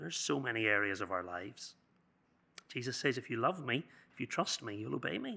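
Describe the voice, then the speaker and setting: A man talks at a fairly quick pace with very wide pitch swings, yet leaves long, frequent pauses. His tone is bright and sharp, with vocal fry. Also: medium pitch for a man. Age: 40s. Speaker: youth speaker. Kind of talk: sermon.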